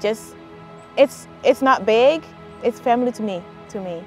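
A woman's voice with ordinary pitch variation, dry with no echo, over faint music in the background. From Ghana. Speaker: college graduate. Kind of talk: interview answer. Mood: warm, reflective. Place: open country. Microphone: lapel.

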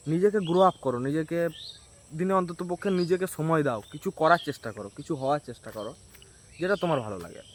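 Lively intonation colors a man's ordinary speaking voice, pitched fairly high. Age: 20s. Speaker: student vlogger. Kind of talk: casual vlog monologue.

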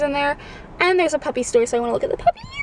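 With lively intonation, a woman talks over light background noise in a dry recording with no echo. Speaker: vlogger. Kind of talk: casual vlog chat. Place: car. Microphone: phone near.

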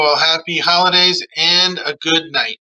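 The delivery is monotone, with flat intonation, at a moderate pace. The background is quiet. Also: man. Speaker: museum staff host. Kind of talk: interview. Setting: video call. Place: office. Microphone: webcam.

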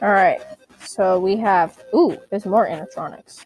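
Over music in the background, a woman talks fairly slowly at a fairly high pitch. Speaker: gaming youtuber. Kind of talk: let's play commentary. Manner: animated.

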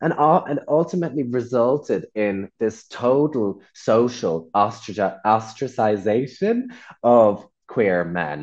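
This speaker talks at a fairly slow pace with an Irish accent. The background is quiet. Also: man, medium pitch for a man. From rural Ireland. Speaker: workshop facilitator. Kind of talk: online workshop presentation.

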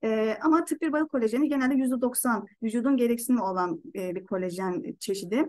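A woman talks with lively intonation. Her pitch sits high. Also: quiet background. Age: 30s. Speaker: product presenter; presenter. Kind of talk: online presentation. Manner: halting. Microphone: webcam.

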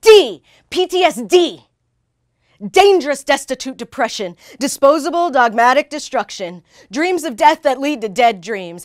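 A woman with an American accent speaks at a high pitch and a moderate pace, her pitch swinging very widely. The background is quiet. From United States. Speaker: war veteran and poet. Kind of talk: spoken word poetry performance. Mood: angry, pained. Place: studio. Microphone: lapel.

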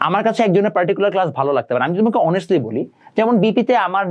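A man's high-pitched voice with lively intonation. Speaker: online ICT tutor. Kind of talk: educational talk to students. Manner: casual, mixes English words.

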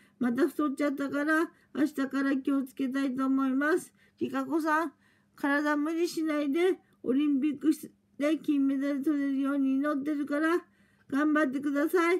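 Against a quiet background, the voice holds a monotone, flat intonation. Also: woman, high pitch for a woman, moderate pace. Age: 50s. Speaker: vlogger; vlogger sending a message. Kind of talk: personal video message. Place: home room. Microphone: phone near.

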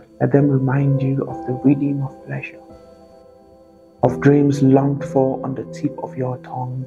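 Over clear music in the background, a man with a medium-pitched voice speaks at a fairly slow pace with ordinary pitch variation. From Nigeria. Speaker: spoken word poet. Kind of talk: spoken word poetry performance. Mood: warm, soulful, earnest. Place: home room.

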